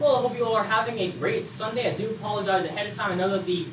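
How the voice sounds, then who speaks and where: A man with an American accent at a very fast pace, with noticeable background noise and audible room echo. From US South. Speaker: meteorologist. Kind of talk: weather forecast. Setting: broadcasting lab. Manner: slightly halting, self-correcting. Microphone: built-in computer microphone, poor sound.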